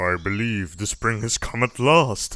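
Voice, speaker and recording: In a put-on character voice, a man talks at a moderate pace with a fairly low pitch. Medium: read story.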